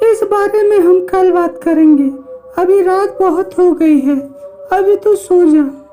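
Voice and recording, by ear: A woman's cartoonish character voice at an extremely high pitch, moderate pace, over clear background noise.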